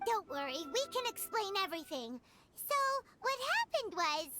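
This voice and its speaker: A squeaky, put-on character voice at an extremely high pitch swings very widely in pitch. It moves at a moderate pace, with music in the background. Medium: video game. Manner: chatty, lively.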